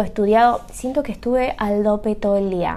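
At a fairly slow pace, a woman with a fairly high pitch and a dark, mellow tone speaks with fairly even intonation. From Argentina, Buenos Aires. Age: 30s. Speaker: podcaster, hotel worker. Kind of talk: casual monologue.

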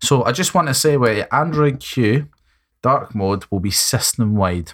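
A man in a Scottish accent talks with very wide pitch swings. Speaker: tech podcast co-host. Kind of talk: casual chat.

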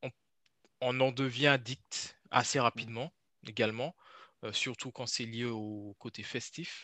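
With long, frequent pauses, a man speaks at a very slow pace in a medium pitch and a bright, sharp tone. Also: fairly even intonation, dry, close sound with no echo, quiet background. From French Antilles. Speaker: personal trainer. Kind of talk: casual interview.

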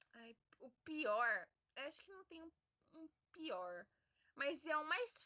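A woman's high voice at a very slow pace, with very wide pitch swings, big swings in loudness, long, frequent pauses and a dry, close sound with no echo. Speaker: podcast co-host. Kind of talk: casual chat.

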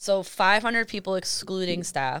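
An American-accented woman speaks at a moderate pace, at medium pitch with ordinary pitch variation, in an unremarkable speaking voice. The recording is very clean with a silent background. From Boston area, Massachusetts (Medford). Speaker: DJ. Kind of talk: casual chat.

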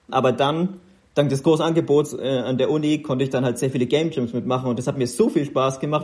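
At a fairly quick pace, a man with a normal speaking voice talks at fairly high pitch with fairly even intonation. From Upper Franconia, Kulmbach. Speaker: mobile games product lead. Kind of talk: interview.

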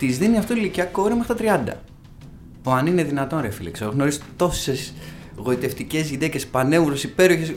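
Noticeable background noise behind fairly quick talking. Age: 30s. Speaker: podcast host. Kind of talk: casual chat.

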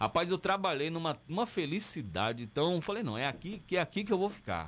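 Pitched high, this man talks at a very fast pace. His pitch swings very widely. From southern Bahia, Brazil (rural Camacan area). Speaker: radio announcer and TV director. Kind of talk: interview.

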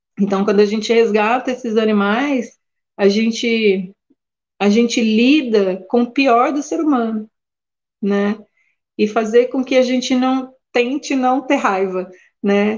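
A woman with a fairly high pitch speaks at a very slow pace with ordinary pitch variation. She leaves long, frequent pauses. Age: 40s. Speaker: animal sanctuary keeper. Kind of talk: interview. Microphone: connection briefly dropped.

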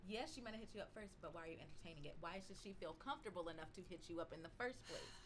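Against noticeable background noise, a woman with an American accent races along at a very fast pace with lively intonation and hardly any pauses. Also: medium pitch for a woman. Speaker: podcast guest, podcaster. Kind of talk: casual chat.

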